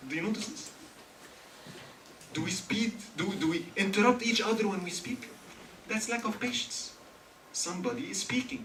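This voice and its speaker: In an Arabic accent, a man with high pitch and ordinary pitch variation speaks with long, frequent pauses, amid audible room echo and noticeable background noise. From Egypt. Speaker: religious teacher. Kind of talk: religious lecture. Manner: fast; animated.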